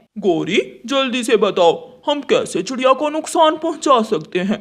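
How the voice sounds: A man's cartoonish character voice, extremely high in pitch and fairly slow.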